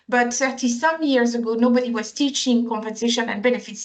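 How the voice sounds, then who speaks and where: A woman's high-pitched voice with a French accent at a moderate pace. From France. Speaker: compensation and benefits consultant. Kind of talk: interview.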